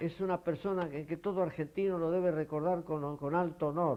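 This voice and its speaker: Here a man talks with a high pitch. His pace is moderate and his intonation fairly even. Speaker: retired doctor. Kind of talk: interview. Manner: halting.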